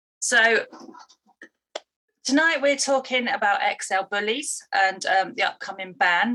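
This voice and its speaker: A woman's bright, sharp tone in a British accent. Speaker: dog behaviourist and trainer. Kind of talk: live stream talk to viewers. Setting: live online stream. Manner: halting, pauses to breathe.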